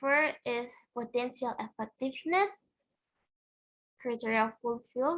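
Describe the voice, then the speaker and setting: A high-pitched woman with an Indonesian accent, fairly slow speech and ordinary pitch variation. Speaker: student presenting research. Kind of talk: conference presentation. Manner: halting.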